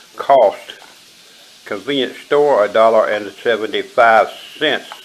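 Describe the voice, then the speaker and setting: A man talks at a fairly slow pace. Noticeable background noise runs behind him. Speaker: bushcraft tutorial maker. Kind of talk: tutorial.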